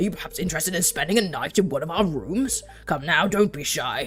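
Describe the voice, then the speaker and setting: A put-on character voice at a middle pitch moves at a fairly quick pace over clear background noise. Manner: suave, inviting, coaxing.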